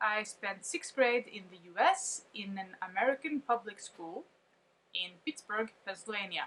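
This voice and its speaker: The tone is bright and sharp, with lively intonation. Loudness swings widely, and the pace is fairly slow. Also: woman, fairly high pitch for a woman. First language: not English. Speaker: vlogger. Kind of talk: casual monologue reading from notes.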